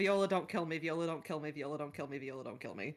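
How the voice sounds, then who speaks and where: Putting on a quiet, breathy character voice, a man rattles along at a very fast pace with a fairly high pitch and ordinary pitch variation. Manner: frightened.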